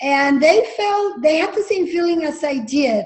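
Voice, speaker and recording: A woman speaks with a Spanish accent at a moderate pace. Her pitch swings very widely. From Jalisco, Mexico; grew up from age 12 in Napa Valley, California. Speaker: winery founder. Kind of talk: interview storytelling. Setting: video call.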